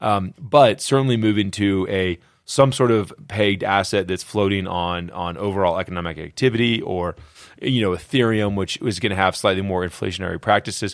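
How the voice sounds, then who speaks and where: Over a very clean recording with a silent background, a man with a plain, everyday voice speaks fairly low and fairly quickly, with ordinary pitch variation. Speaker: crypto podcast co-host. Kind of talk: angry rant. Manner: indignant, increasingly heated and exasperated.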